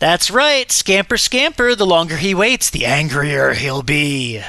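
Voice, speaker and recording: A man's put-on character voice at a high pitch and a fairly slow pace. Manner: mischievous, yelling.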